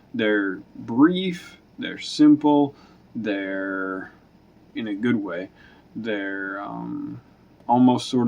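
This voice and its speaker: Noticeable background noise is heard. Through it, a man talks. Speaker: film review youtuber. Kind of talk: casual video review monologue. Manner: halting, many fillers and restarts.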